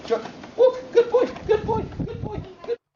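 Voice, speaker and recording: This put-on character voice is squeaky and extremely high-pitched. It moves at a moderate pace. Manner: fast, repetitive, praising.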